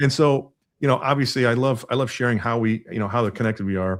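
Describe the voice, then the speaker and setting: Recorded very cleanly against a silent background, a man with an American accent talks at a fairly quick pace with ordinary pitch variation. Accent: none noticeable by own account. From US Midwest. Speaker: podcast host. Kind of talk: casual interview chat.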